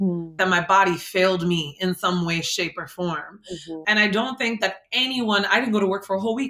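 A woman with an American accent, a normal speaking voice, medium pitch, ordinary pitch variation and a fairly quick pace. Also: hardly any pauses. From New Jersey, Jersey City. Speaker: clinical psychologist. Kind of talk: interview.

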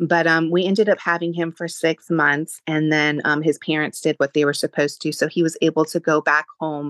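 A woman with a very deep, low voice speaks at a moderate pace in a flat monotone, the sound dry and close with no echo. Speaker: mother sharing infertility story. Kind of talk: testimony. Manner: hesitant, many fillers.

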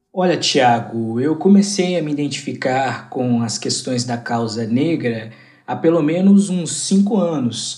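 A dark, mellow tone with lively intonation at a fairly slow pace, in audible room echo. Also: man, fairly high pitch for a man. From Goiânia, Brazil. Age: 20s. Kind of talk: interview answer.

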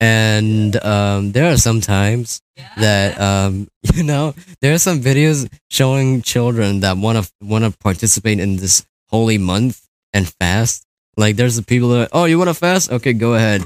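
A man has a normal speaking voice at medium pitch, moving at a moderate pace with ordinary pitch variation. His loudness stays very even, and the sound is dry and close with no echo. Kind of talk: casual chat.

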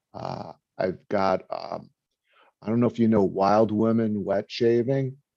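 A man with a New York accent speaks at a fairly slow pace in a fairly low pitch, his tone dark and mellow. His intonation stays fairly even against a quiet background. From New York (Brooklyn). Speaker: video content creator. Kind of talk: casual chat.

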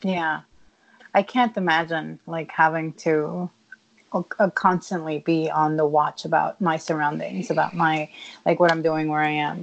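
A woman at a very deep, low pitch for a woman, fairly slow in pace, with fairly even intonation. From Puerto Rico. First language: Spanish. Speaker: podcast host. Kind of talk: casual chat. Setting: at home in a kitchen.

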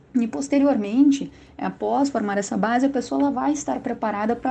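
The speaker has a southern Brazilian accent. The tone is dark and mellow. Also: woman. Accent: gaúcho. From Rio Grande do Sul, southern Brazil. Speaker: public prosecutor. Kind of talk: interview. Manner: halting, with fillers.

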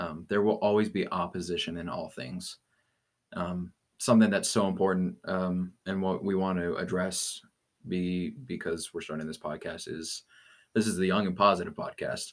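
With an American accent, a man with a very deep, low pitch talks at a moderate pace with fairly even intonation on a very clean recording with a silent background. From Colorado. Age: young. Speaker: podcast co-host. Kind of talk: casual chat. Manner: halting.

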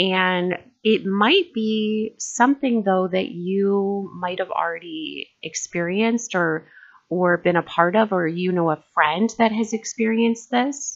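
A woman's normal speaking voice, medium in pitch, with ordinary pitch variation and a fairly slow pace. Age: 40s. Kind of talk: casual discussion.

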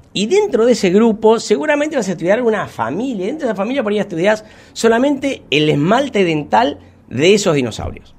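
With an Argentine accent, a man speaks high in pitch and swings it very widely. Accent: Rioplatense Argentine Spanish. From Buenos Aires, Argentina (Munro). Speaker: paleontology technician. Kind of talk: casual interview.

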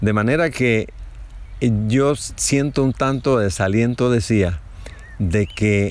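A man's medium-pitched, very slow speech with lively intonation, over noticeable background noise. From Chiriquí, Panama. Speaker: fruit farmer. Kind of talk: interview.

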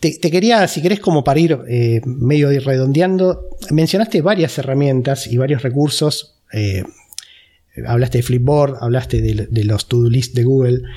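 With a Rioplatense accent, a man at medium pitch talks at a fairly slow pace, his intonation lively and his loudness very even. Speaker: podcast host. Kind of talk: interview.

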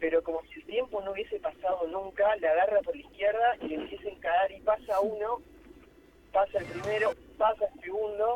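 Dry and close with no echo, a man talks at a fairly quick pace. His voice is high-pitched with lively intonation. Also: big swings in loudness. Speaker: lawyer, amateur footballer. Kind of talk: phone interview.

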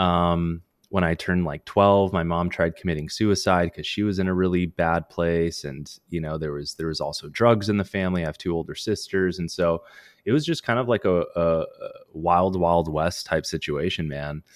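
At a moderate pace, a man with a very deep, low voice speaks with fairly even intonation. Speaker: sobriety coach. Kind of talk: casual interview chat.

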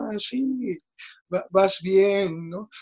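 The man's voice sits at a high pitch and shows ordinary pitch variation. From Mexico, Veracruz. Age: 20s. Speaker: pastor. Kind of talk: interview.

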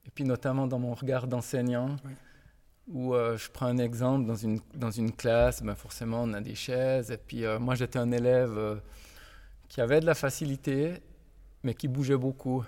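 With long, frequent pauses, a man speaks at a medium pitch in a dark, mellow tone and a monotone, flat intonation, in a very clean recording with a silent background. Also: moderate pace. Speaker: physical education teacher. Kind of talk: interview. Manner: halting, with repetitions.

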